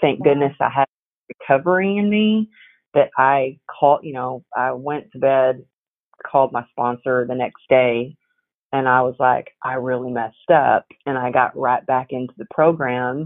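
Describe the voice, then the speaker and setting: A woman speaks with a Texas accent and a very deep, low pitch. Her pace is moderate and her pitch variation ordinary. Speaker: resilience coach and author. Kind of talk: interview conversation. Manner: animated.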